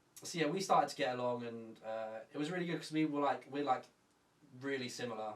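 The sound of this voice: A man talks at a fairly quick pace. Audible room echo surrounds his voice. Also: medium pitch for a man, ordinary pitch variation.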